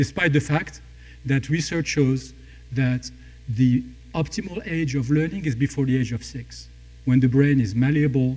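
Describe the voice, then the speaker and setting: A man with a non-native accent, medium pitch, ordinary pitch variation and a moderate pace, broken by long, frequent pauses. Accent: non-native foreign. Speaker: startup founder and CEO. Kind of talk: pitch presentation.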